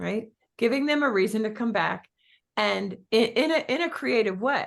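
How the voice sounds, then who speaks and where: A woman talks at a moderate pace and a fairly high pitch with ordinary pitch variation. Her tone is animated, with vocal fry. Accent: Philadelphia. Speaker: real estate business coach. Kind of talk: coaching talk.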